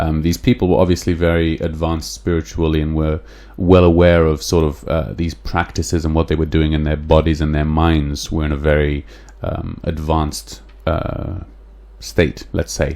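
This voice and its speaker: Noticeable background noise runs under a man talking at a moderate pace. His pitch is very deep and low, with ordinary variation. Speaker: podcast host. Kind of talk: solo podcast talk, explaining a book. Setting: live stream with chat. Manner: hesitant, many fillers.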